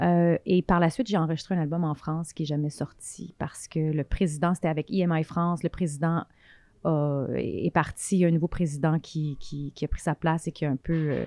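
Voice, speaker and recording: A woman's fairly low, dark, mellow voice with fairly even intonation, fairly quick pace and a dry sound with no echo. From Quebec. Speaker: film director; guest. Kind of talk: interview. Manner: halting, many fillers and repetitions. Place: home room. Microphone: handheld.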